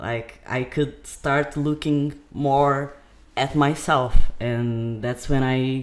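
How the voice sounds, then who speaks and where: Very slow speech in a Portuguese accent. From Brazil, raised partly in Portugal. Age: 20s. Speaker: podcast guest. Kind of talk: casual chat. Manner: halting.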